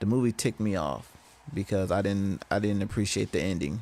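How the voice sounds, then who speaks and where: A soft-spoken man talks at a fairly quick pace. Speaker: gaming streamer. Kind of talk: casual chat. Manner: halting.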